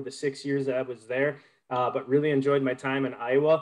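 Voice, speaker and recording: A man with a fairly high pitch, an American accent and monotone, flat intonation. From Minnesota, Duluth; Minnesota. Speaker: conservation group public relations manager; presenter. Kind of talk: webinar presentation. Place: home room. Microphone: unstable internet connection; webcam.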